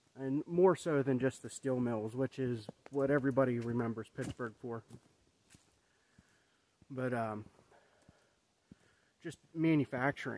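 A man talks at a fairly slow pace with long, frequent pauses. His intonation stays fairly even, and the sound is dry with no echo. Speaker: vlogger. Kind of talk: casual vlog chat. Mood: reflective, thoughtful. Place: forest. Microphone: phone near.

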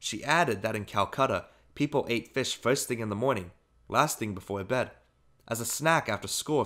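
A natural reading voice carries the text.

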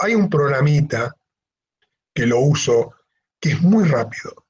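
The speaker is a man with a somewhat breathy voice. He goes at a very slow pace. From Argentina, Misiones (El Dorado); Misiones, Argentina. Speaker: wildlife photographer; guest. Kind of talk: online talk with slideshow. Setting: video call. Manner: halting. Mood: relaxed, friendly. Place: home room. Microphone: video call.

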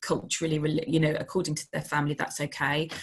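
Against a quiet background, a woman speaks at a fairly quick pace with a very deep, low pitch. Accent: London. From London. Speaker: dance company artistic director. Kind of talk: online workshop presentation. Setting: video call. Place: home room. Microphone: video call.

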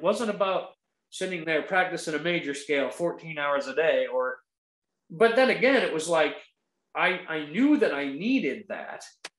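A man with an American accent speaks at a moderate pace, his pitch swinging very widely. There is audible room echo against a quiet background. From northern Maine, US. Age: 40s. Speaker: country guitarist and guitar teacher; guest. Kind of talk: casual interview chat; interview answer. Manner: animated. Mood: warm, animated. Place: home room. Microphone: video call.

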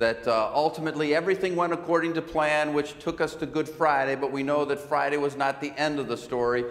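A man is speaking here. He moves at a fairly quick pace with ordinary pitch variation. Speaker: pastor. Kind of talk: church announcements. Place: church.

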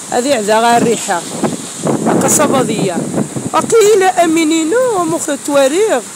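A woman with a high voice speaks at a very slow pace with very wide pitch swings, the sound dry with no echo and noticeable background noise behind her. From Morocco. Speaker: YouTuber. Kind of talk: casual vlog. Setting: outdoors. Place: street. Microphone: phone near.

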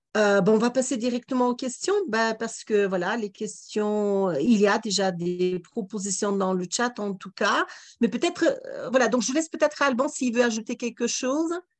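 Against a quiet background, a woman with a plain, everyday voice talks at a moderate pace and fairly high pitch, with lively intonation and hardly any pauses. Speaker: webinar moderator. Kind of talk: moderated Q&A. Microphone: video call.

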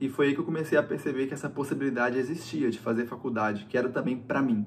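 A man talks at a fairly quick pace with ordinary pitch variation. There is light background noise. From Brazil, interior of Minas Gerais (Paracatu); Minas Gerais, Brazil. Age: 20s. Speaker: recent university graduate. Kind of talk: personal testimony to camera. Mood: calm and reflective. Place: home room. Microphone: phone near.

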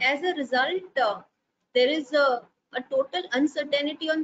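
A woman speaks high in pitch, with very wide pitch swings. Light background noise can be heard. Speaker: webinar panelist. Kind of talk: lecture. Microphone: earbuds.

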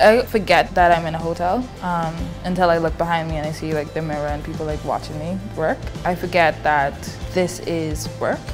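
A woman talks fairly quickly while clear music sounds behind her. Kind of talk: interview answer. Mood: warm, reflective. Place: studio. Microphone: lapel.

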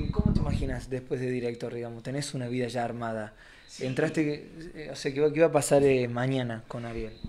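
With an Argentine accent, a man talks at a fairly quick pace with fairly even intonation. Noticeable background noise runs under his voice. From Argentina. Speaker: radio interviewer. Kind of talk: radio interview. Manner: halting. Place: office.

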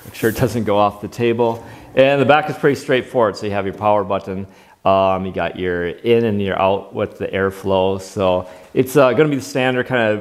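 This man talks at a fairly quick pace in a fairly low pitch, with ordinary pitch variation and big swings in loudness. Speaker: product reviewer. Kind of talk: product review demo. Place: workshop. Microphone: lapel.

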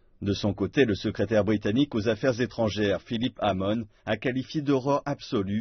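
Somewhat breathy, a man talks at a fairly quick pace with a fairly low pitch and ordinary pitch variation. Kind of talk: TV news read.

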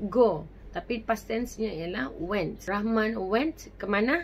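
Light background noise sits behind a woman whose medium-pitched voice carries vocal fry and lively intonation. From Malaysia. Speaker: English teacher. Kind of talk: tutorial. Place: home room.

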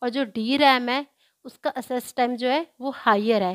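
A woman speaks in a high pitch with ordinary pitch variation. The very clean recording has a silent background and a dry, close sound with no echo. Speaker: computer science tutor. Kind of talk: tutorial.

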